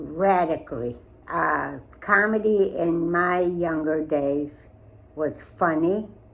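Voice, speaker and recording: A woman talks at a very slow pace, with audible room echo. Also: fairly low pitch for a woman, ordinary pitch variation. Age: 90s. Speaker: interviewee, great-grandmother. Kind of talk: interview. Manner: hesitant.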